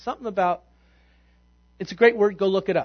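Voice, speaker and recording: A man speaks very fast in a high voice. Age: 50s. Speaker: pastor. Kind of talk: sermon. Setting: church.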